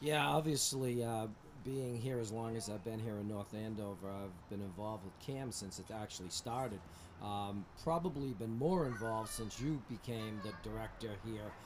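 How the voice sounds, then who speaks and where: A somewhat breathy man with an American accent and medium pitch. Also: ordinary pitch variation, moderate pace. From Massachusetts, Methuen. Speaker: town recreation director. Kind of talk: casual chat. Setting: outdoors.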